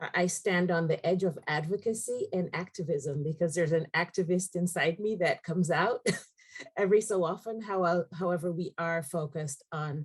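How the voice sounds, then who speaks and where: Somewhat breathy and at a moderate pace, the speaker has an American accent and ordinary pitch variation. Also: woman. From outside the United States. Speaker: executive director of a community education nonprofit. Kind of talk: panel webinar introduction.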